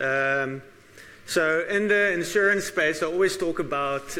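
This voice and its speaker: A man with ordinary pitch variation, heard with audible room echo. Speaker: actuary and conference speaker. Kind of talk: conference talk. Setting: stage with audience. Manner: loud; hesitant with frequent fillers.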